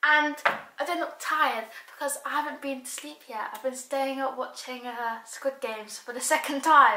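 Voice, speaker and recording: With audible room echo, a woman speaks in a raised, projected voice with ordinary pitch variation. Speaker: vlogger. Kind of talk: casual vlog chat. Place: home room. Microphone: camera far.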